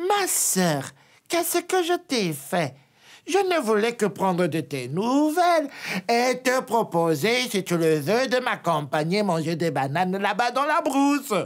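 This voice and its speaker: A put-on character voice, fairly high-pitched with very wide pitch swings, at a fairly slow pace on a very clean recording with a silent background. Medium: read story.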